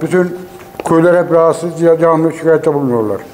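Over light background noise, a man with a high pitch speaks at a fairly quick pace with fairly even intonation. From Mut, Mersin, Turkey. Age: 70s. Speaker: villager and farmer. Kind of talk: interview statement. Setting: outdoors. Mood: earnest complaint about dusty road. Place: hall.

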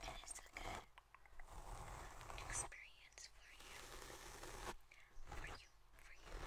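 Speaking at a very slow pace, a woman leaves long, frequent pauses. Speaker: ASMR artist. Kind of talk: ASMR personal attention role play. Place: home room. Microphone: earbuds.

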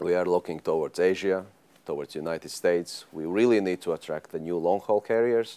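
A man with a very deep, low pitch and a dark, mellow tone, at a fairly quick pace. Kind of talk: interview answer. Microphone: lapel.

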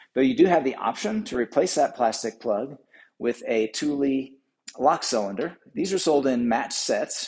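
Male voice, medium pace, hushed surroundings. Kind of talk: tutorial. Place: shop.

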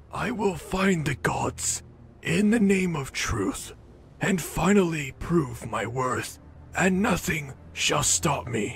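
A man's put-on character voice, fairly high in pitch and very slow, with clear music in the background. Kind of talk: formal proclamation. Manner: grand, ceremonial.

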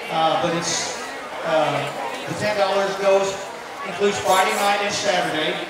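The voice has an American accent, with long pauses coming often. Loud background noise and audible room echo fill the recording. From Tennessee. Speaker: event emcee. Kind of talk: emceeing a charity auction at a fan event. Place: tent.

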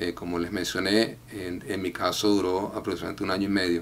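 Over light background noise, a man talks in a very deep, low voice with a monotone, flat intonation. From Venezuela, Valencia; Venezuela. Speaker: immigration client. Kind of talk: testimony. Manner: halting, frequent filler 'eh'. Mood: calm, grateful.

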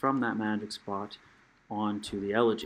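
A man talks in a soft-spoken way. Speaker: gaming youtuber. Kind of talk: tutorial. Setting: home, late at night. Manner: casual.

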